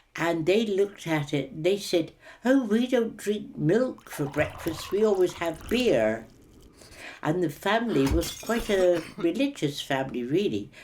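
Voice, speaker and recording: The voice has an emphatic Cornish accent. Its pitch swings very widely. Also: woman, medium pitch for a woman, fairly slow pace. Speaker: war-time eyewitness. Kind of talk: oral history interview.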